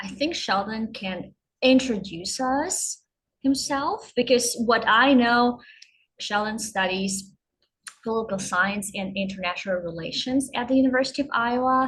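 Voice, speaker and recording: With a Ukrainian accent, a woman speaks fairly slowly in a fairly high voice with ordinary pitch variation. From western Ukraine. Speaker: university student, event host. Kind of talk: online event introduction.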